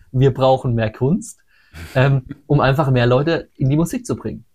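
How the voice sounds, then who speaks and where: Somewhat breathy speech with ordinary pitch variation, on a very clean recording over a silent background. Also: man. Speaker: metal singer and sound engineer. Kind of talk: casual interview.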